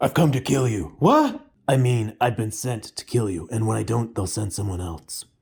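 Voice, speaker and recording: A man's put-on character voice at medium pitch, with a moderate pace and ordinary pitch variation. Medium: read story. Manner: terse, irritable.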